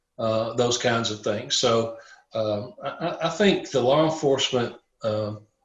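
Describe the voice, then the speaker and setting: He is a man speaking at a fairly slow pace. His pitch is medium, with ordinary variation. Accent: Southern US. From Tennessee. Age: 60s. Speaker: police chaplain. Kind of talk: casual chat.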